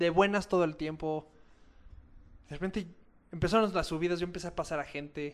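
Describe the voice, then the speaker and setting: A man with a high voice speaks at a fairly quick pace but leaves long, frequent pauses. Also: fairly even intonation. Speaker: ultra-endurance athlete. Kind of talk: casual chat.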